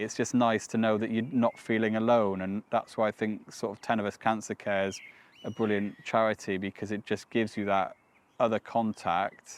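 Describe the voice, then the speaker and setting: In a dry, close sound with no echo, a man talks at a moderate pace in a fairly low pitch with monotone, flat intonation. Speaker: cancer survivor. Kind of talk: testimony.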